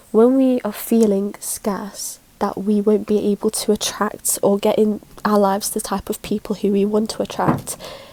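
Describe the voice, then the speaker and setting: Over noticeable background noise, a woman at medium pitch speaks at a moderate pace with monotone, flat intonation. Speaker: spiritual content creator. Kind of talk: casual talk to camera.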